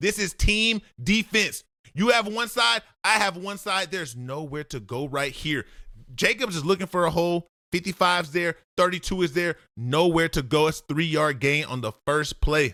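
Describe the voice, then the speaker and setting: Over a very clean recording with a silent background, a man with a high pitch speaks at a moderate pace in a bright, sharp, animated tone with lively intonation, the sound dry and close with no echo. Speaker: football film analyst. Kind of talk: football film breakdown.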